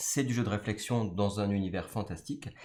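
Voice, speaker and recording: Speaking with a French accent, a man talks at a very fast pace. His pitch is fairly low. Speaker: board game designer. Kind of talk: game presentation. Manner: hesitant, many fillers.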